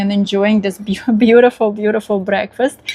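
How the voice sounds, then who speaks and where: With noticeable background noise behind her, a woman speaks in a medium pitch with a Russian accent and a monotone, flat intonation. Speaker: vlogger. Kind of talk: casual vlog talk. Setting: outdoors on balcony. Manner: halting, many fillers.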